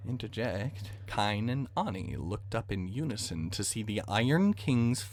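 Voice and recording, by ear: With ordinary pitch variation, the voice reads aloud naturally.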